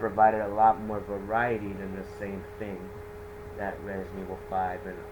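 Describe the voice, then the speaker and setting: Against noticeable background noise and audible room echo, a man speaks at a moderate pace with a fairly low pitch and fairly even intonation. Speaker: video game reviewer. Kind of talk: game review monologue. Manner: stuttering; halting. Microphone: poor mic quality.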